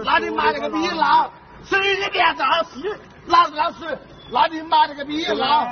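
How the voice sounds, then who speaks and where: With a Wuhan accent and an extremely high pitch, a man speaks at a fairly slow pace with ordinary pitch variation over noticeable background noise. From Wuhan, China. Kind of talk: street argument with police. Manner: aggressive, cursing, shouting.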